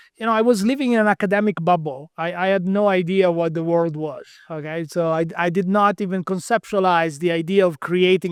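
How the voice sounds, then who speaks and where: In a very clean recording with a silent background and a dry, close sound with no echo, a man with an Italian accent speaks at a high pitch and a fairly quick pace with fairly even intonation. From Italy. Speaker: quantum physicist. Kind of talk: interview.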